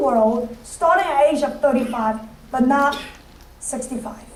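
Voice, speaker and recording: A woman's voice carries audible room echo while noticeable background noise plays underneath. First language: not English. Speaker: financial services business leader. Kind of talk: motivational speech. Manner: halting.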